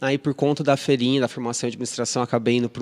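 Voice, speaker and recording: A man speaks at a medium pitch in an interior São Paulo accent. His voice sounds dry and close, without any echo. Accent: mineiro-like interior São Paulo. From Ribeirão Preto, São Paulo state, Brazil. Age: 30s. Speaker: restaurant association executive director. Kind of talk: podcast interview. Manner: hesitant, many fillers and repetitions.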